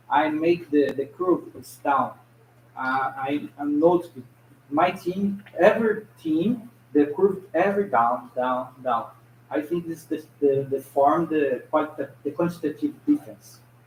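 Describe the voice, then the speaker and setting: Speaking with a Brazilian Portuguese accent, a man has a fairly high pitch and ordinary pitch variation. His pace is fairly slow. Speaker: audience member asking a question. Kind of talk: audience question. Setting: conference presentation with audience. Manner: halting.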